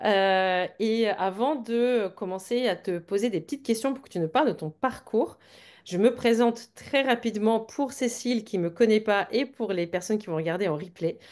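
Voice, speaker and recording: A woman's fairly high voice at a fairly slow pace, with ordinary pitch variation against a quiet background. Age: 40s. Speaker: business coach for wellness entrepreneurs. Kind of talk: live webinar interview. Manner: hesitant, many fillers.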